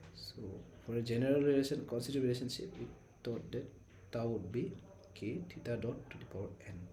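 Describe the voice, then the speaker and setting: A soft-spoken man at a medium pitch talks at a fairly quick pace with lively intonation and long, frequent pauses, with audible room echo. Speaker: teaching assistant. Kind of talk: tutorial.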